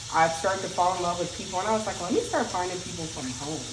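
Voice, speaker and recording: Amid audible room echo and noticeable background noise, a woman speaks in an animated tone. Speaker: content creator, nurse. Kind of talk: casual chat.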